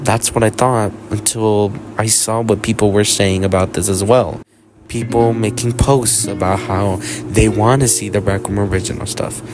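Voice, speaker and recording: Here a man speaks in a fairly low pitch. Background noise is noticeable. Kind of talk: video essay rant. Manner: halting, stumbling over words.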